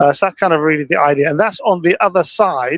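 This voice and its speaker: Recorded dry and close with no echo, a man speaks with a British accent. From Britain. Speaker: field reporter at tech conference. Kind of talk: live walkaround commentary. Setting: conference exhibition hall. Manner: halting, many fillers.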